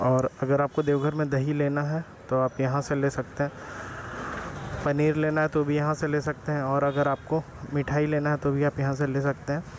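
With faint background noise, a man speaks at a moderate pace in a fairly high pitch, his intonation monotone and flat.

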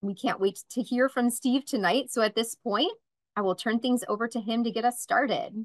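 The sound is dry and close, with no echo. Delivery comes at a moderate pace with ordinary pitch variation. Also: woman.

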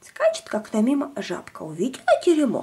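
A woman with a fairly high pitch speaks at a fairly quick pace, her dark, mellow tone carrying a husky, rough edge and very wide pitch swings.

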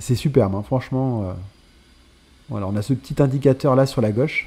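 A man speaks in a dark, mellow tone that is somewhat breathy. He keeps a moderate pace, with ordinary pitch variation. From Nice, France. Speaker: gaming YouTuber. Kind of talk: casual gameplay commentary. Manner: enthusiastic, casual.

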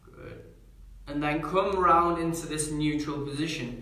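Audible room echo surrounds a man speaking at a moderate pace in a fairly high, monotone, flat voice. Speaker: yoga instructor. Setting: live stream, talking to viewers online. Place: home room. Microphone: camera far.

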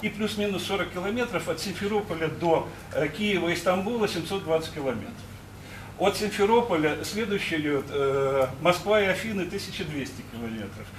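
At a moderate pace, a high-pitched man speaks with lively intonation amid audible room echo and light background noise. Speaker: audience member. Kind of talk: audience question. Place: hall.

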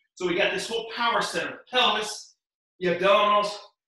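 A raised, projected voice carries through strong room echo against a quiet background. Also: man. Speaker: fitness instructor. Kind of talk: workout instruction. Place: home room. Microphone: camera far.

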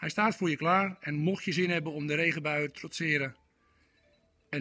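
A man's bright, sharp voice at a moderate pace, in a dry sound with no echo and a quiet background. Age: 40s. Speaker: motorcycle salesperson. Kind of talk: product presentation. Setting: motorcycle showroom. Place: shop. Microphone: phone near.

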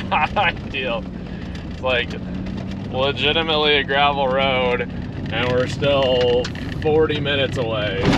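A man talks at a fairly slow pace over loud background noise, the sound dry with no echo. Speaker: driver vlogger. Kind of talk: casual vlog chat. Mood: wry, slightly nervous humor. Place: car. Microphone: phone near.

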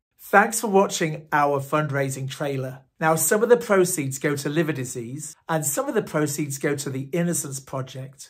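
A man talks at a moderate pace in a somewhat breathy voice, with hardly any pauses. His pitch varies in an ordinary way, and the background is quiet. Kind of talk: direct appeal to camera. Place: home room. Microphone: phone near.

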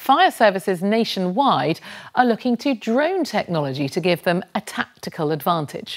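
Her pitch swinging very widely, a woman speaks at a moderate pace against a quiet background. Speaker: programme presenter or narrator. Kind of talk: news programme narration. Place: studio. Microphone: lapel.

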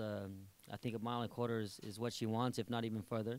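Delivered at a very fast pace, the speech is monotone and flat, with a dry sound and no echo. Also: man. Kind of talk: interview answer. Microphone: handheld.

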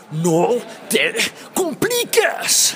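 A man shouting in a put-on character voice, with clear background noise. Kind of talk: gruff, exaggerated. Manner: shouted.

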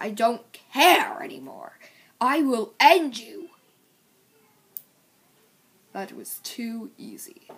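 Using a put-on character voice, a woman speaks very slowly at a fairly high pitch with lively intonation. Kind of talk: gruff, commanding. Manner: aggressive, threatening.

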